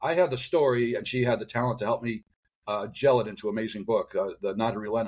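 Speaking at a very fast pace, a man keeps a medium pitch with ordinary pitch variation. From US Midwest, Detroit. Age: 60s. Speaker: radiologist and author. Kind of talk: interview.

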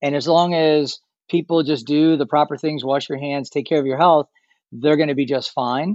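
Speaking at a moderate pace, the man has a normal speaking voice. His pitch is fairly high, and his intonation fairly even. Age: 50s. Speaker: travel industry expert. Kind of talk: interview.

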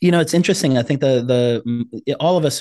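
In a normal speaking voice, the speaker talks at a fairly quick pace with lively intonation over a quiet background. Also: man. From South Africa and Congo, moved to US as refugee child. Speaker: brain-based Enneagram coach. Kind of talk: interview.

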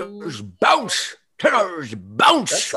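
A man's put-on character voice, high in pitch. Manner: bouncy, playful.

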